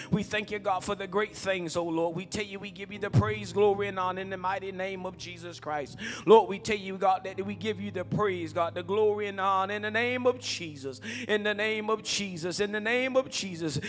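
Faint music plays in the background as a man talks at a fairly quick pace with hardly any pauses. His intonation is fairly even. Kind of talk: spoken prayer. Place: church. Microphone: handheld.

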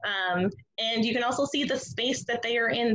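A woman talks at a moderate pace with ordinary pitch variation. She has a normal speaking voice. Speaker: museum educator. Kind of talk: educational webinar presentation. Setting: video call.

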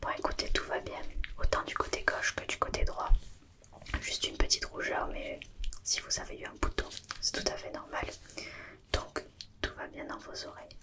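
A soft-spoken woman talks with long, frequent pauses. Loud background noise runs throughout. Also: moderate pace. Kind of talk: ASMR roleplay check-up talk. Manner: soft, hushed ASMR speaking close to mic.

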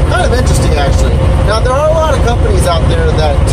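A fairly quick pace over loud background noise. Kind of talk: casual vlog chat. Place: car. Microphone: camera far.

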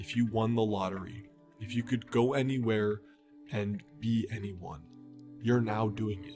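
A fairly low-pitched man at a fairly slow pace, with ordinary pitch variation and big swings in loudness, music in the background. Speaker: meditation guide. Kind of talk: guided meditation.

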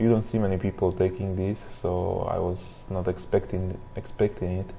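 A man mumbles at a moderate pace in a very deep, low voice with monotone, flat intonation. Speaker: gamer. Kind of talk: gameplay commentary. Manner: mumbling.

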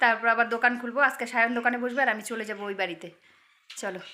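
A woman speaks in an animated tone at a fairly high pitch. Her tone is bright and sharp. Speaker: vlogger. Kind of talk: casual vlog narration. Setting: on the move, in an e-rickshaw. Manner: animated, chatty.

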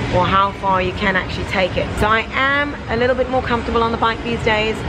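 A woman speaks at a fairly quick pace while noticeable background noise plays behind her. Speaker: fitness vlogger. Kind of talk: casual vlog chat. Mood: playful, self-deprecating. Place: gym. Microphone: phone near.

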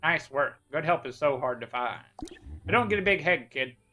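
A woman speaks in a put-on character voice at a moderate pace. Her pitch is very deep and low. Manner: curt, condescending.

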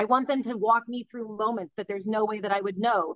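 The woman's voice sounds dry with no echo, set against a quiet background. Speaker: psychic medium and author. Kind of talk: casual interview conversation. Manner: high energy, matter-of-fact. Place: home room. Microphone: video call.

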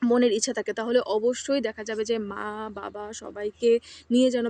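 A woman speaks with monotone, flat intonation. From Bangladesh. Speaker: international student vlogger. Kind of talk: personal vlog monologue. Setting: outdoors in a campus garden. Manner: halting with pauses.

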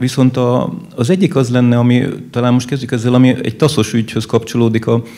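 With an unremarkable speaking voice, a man talks at a fairly quick pace and medium pitch with fairly even intonation. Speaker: audience member. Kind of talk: audience question at panel discussion. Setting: live event with audience. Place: hall. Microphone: handheld.

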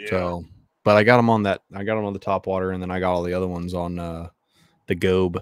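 The sound is dry with no echo. A man with a fairly low pitch speaks at a fairly quick pace. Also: quiet background. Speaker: podcast co-host. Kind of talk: casual podcast conversation. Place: home room. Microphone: studio mic.

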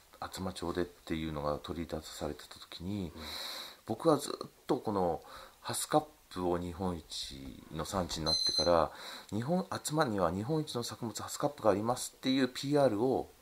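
Noticeable background noise sits behind a man talking at a moderate pace. His fairly low pitch swings very widely, and his loudness shifts a lot. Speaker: fruit farmer. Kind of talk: recorded interview.

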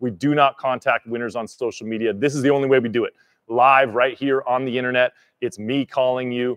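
A man talks at a fairly quick pace in a monotone, flat delivery. The background is quiet. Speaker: livestream host. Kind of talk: live stream announcement. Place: garage. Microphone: studio mic.

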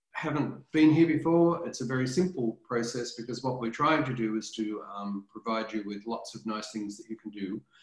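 Over a quiet background with audible room echo, a man speaks at a moderate pace. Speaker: professor presenting a webinar. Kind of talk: webinar talk to parents. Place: home room. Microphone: webcam.

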